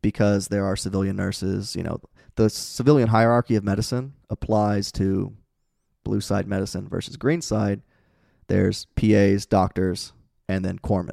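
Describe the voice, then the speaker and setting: A man with an American accent speaks at a moderate pace in a fairly low, dark, mellow voice, the sound dry and close with no echo and the recording very clean over a silent background. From Indiana (Peru). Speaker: Navy corpsman veteran. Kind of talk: casual chat.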